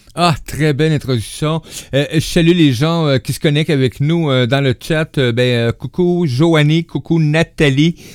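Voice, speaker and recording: Recorded dry and close with no echo, a man with a Quebec accent speaks at a very slow pace in a fairly high pitch, with very even loudness and ordinary pitch variation. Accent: Québécois French. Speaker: radio host. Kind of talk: casual chat.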